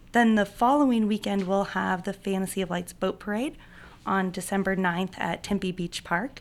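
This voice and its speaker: With a normal speaking voice at a medium pitch, a woman talks at a fairly quick pace and fairly even intonation on a very clean recording with a silent background. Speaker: events director. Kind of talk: casual interview.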